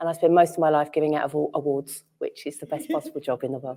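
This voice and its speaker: A woman's very deep, low voice with a dark, mellow tone and a strong Cockney accent, at a very fast pace. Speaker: entrepreneur, panelist. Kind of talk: panel discussion. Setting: stage with audience.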